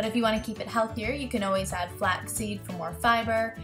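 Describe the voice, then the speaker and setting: A woman at a fairly quick pace with clear music in the background. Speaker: cooking channel host. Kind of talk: casual recipe tutorial. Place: kitchen. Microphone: webcam.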